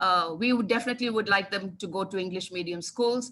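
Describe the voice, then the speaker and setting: Bright and sharp in tone, a woman talks with ordinary pitch variation. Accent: Indian. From India (childhood in Kanpur, Telugu family). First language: Telugu. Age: 60s. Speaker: English language teaching specialist. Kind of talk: webinar talk. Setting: online webinar.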